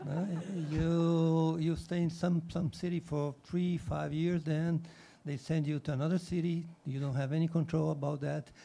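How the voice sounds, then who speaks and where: A man with a Portuguese accent and a dark, mellow tone speaks at a moderate pace with a fairly high pitch and monotone, flat intonation. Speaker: diplomat. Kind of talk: panel discussion.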